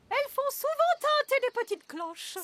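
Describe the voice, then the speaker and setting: A woman puts on a squeaky character voice at an extremely high pitch with very wide pitch swings, speaking at a moderate pace in a dry, close sound with no echo. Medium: cartoon.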